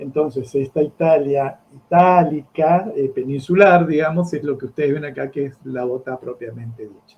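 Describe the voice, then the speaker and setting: Speaking at a fairly slow pace, a man with a fairly high pitch sounds somewhat breathy, with ordinary pitch variation. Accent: Rioplatense. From Argentina, Buenos Aires. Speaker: geography teacher. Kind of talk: lecture.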